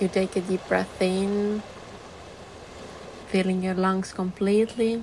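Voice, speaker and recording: Over noticeable background noise, a woman speaks in a monotone, flat intonation. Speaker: meditation guide. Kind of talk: guided meditation.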